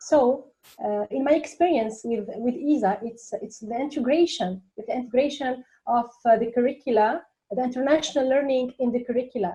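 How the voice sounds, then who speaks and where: This woman has a high pitch and a dark, mellow tone. She speaks at a moderate pace with ordinary pitch variation. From Tunisia. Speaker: teacher. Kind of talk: panel discussion. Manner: halting, many fillers.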